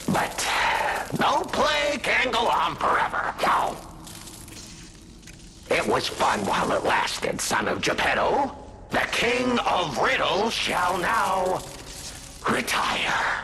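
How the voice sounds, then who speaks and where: Over clear background noise, a man in a put-on character voice speaks in a theatrical tone at an extremely high pitch, very slowly, with long, frequent pauses. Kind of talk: villain monologue. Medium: video game. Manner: theatrical, mocking, frequent laughter.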